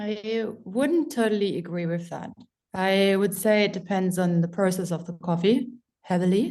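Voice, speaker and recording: A woman's medium-pitched voice with a German accent, a dark, mellow tone and ordinary pitch variation. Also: moderate pace. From Germany. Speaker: coffee professional. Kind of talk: casual chat.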